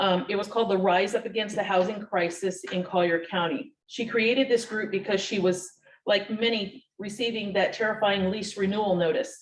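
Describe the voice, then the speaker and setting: A woman with an ordinary speaking voice and a medium pitch talks at a moderate pace with hardly any pauses. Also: fairly even intonation. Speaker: tenant advocate. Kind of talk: reading aloud.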